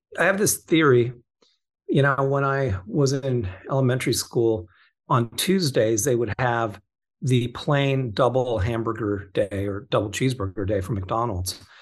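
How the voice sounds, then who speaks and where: A somewhat breathy man with an American accent speaks over a quiet background. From Southern California (Orange County). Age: 50s. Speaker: crypto investment fund co-founder. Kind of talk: casual interview chat.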